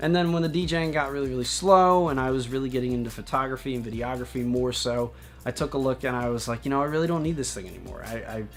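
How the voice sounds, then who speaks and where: Over music in the background, a man talks at a very fast pace with an animated tone. His medium pitch shows ordinary variation, and the room echo is audible. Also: hardly any pauses. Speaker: vlogger and former DJ. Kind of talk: casual vlog monologue.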